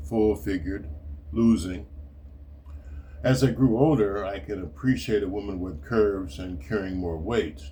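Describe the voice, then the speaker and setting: With long, frequent pauses and a fairly slow pace, a man speaks in a very deep, low voice that is somewhat breathy, his intonation lively against audible room echo. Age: 70s. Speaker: retired writer and martial arts teacher. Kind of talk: reading aloud.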